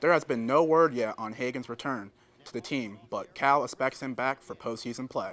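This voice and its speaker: With an American accent, a man talks at a moderate pace in an unremarkable speaking voice of medium pitch, with big swings in loudness. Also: ordinary pitch variation. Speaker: sports reporter. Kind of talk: sports news anchor read. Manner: upbeat, clear, brisk.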